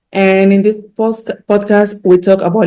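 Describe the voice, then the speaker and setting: A dark, mellow tone at a moderate pace with monotone, flat intonation. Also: woman. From Dominican Republic. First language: Spanish. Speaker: physician and healthcare executive. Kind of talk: podcast interview.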